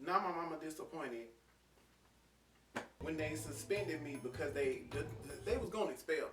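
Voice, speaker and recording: A man talks at a fairly quick pace broken by long, frequent pauses, with music in the background and audible room echo. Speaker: YouTuber. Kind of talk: storytime monologue. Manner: fast; casual, repetitive stammering.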